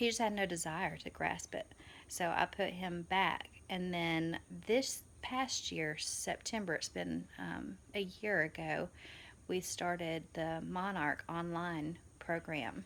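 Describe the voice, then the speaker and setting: A woman speaks very slowly with a Southern accent. The recording is very clean, with a silent background. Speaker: homeschooling mother, vlogger. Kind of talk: casual vlog. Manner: hesitant, many fillers.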